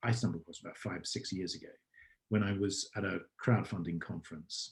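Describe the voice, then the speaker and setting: Fairly low in pitch and somewhat breathy, a man with an English accent talks at a fairly quick pace with big swings in loudness. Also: ordinary pitch variation. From England. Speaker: startup founder and CEO. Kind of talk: podcast interview answer.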